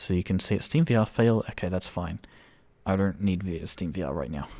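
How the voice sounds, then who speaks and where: Very deep and low, this man's voice carries a dark, mellow tone. He talks at a fairly quick pace with ordinary pitch variation. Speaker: game developer. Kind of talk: live stream game showcase. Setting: live stream. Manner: shaky voice; animated, halting.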